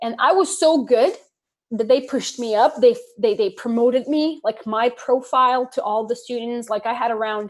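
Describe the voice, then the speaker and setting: The woman's high voice moves at a moderate pace with ordinary pitch variation. The recording is very clean, with a silent background. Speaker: online English teacher and motivational creator. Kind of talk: casual interview. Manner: animated.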